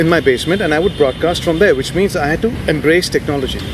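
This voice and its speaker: Very fast, high male speech with normal pitch movement, amid noticeable background noise. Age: 50s. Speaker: radio presenter and media CEO. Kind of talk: interview answer. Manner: calm.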